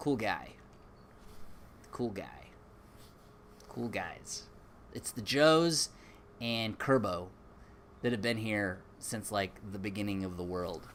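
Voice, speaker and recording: Audible room echo surrounds a man with an American accent. He talks at a fairly slow pace with a fairly low pitch and lively intonation. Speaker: YouTuber. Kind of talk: live stream chat. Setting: garage.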